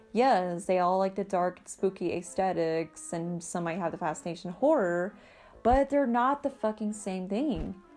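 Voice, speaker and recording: The speaker's intonation is lively. Music plays in the background. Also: woman. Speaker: goth vlogger. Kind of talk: casual talk to camera. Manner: annoyed.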